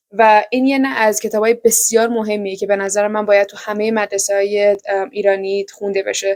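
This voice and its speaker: A woman with an Iranian accent, medium in pitch, at a fairly quick pace. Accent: Iranian (Persian) accent in English. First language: Persian. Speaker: book vlogger. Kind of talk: casual book review vlog. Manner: fast; animated.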